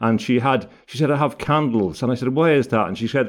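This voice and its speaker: Talking at a very fast pace, a man speaks in an Irish accent. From Ireland. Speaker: barrister and author. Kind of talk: interview. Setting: video call. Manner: halting, many repetitions.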